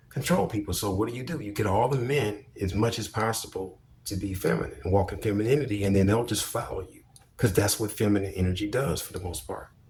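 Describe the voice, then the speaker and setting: Over noticeable background noise, a man with a fairly low voice speaks at a fairly quick pace in an animated tone, with ordinary pitch variation. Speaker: video commentator. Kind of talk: monologue commentary.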